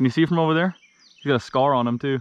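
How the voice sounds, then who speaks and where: A man talks with ordinary pitch variation. The sound is dry, without echo. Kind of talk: casual excited commentary. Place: waterside. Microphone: phone near.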